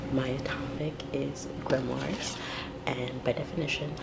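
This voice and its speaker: Whispering against noticeable background noise. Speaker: pagan video blogger. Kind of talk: casual vlog. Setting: home at night, filmed video. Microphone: quiet, may need volume turned up.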